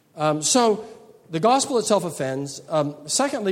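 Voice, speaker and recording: A man's high voice at a fairly slow pace, with very wide pitch swings and audible room echo. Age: 60s. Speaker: pastor. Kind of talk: lecture. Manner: halting.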